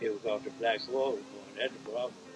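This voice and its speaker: Clear music plays in the background as a man with a Mississippi accent speaks at a fairly quick pace in a medium pitch with monotone, flat intonation. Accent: Southern US, Mississippi. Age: 80s+. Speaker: elderly relative interviewee. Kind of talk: interview answer. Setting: outdoors. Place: home room.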